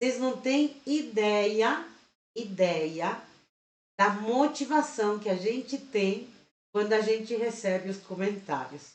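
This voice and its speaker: A woman speaks very slowly in a fairly high pitch with lively intonation. Her speech has long, frequent pauses. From Chile. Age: 50s. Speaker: crochet teacher and channel host. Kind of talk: live stream tutorial chat.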